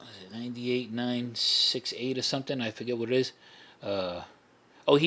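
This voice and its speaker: In a New York accent, a man of medium pitch talks at a fairly quick pace. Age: 60s. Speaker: former mafia associate. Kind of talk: casual chat. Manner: halting, many fillers and restarts.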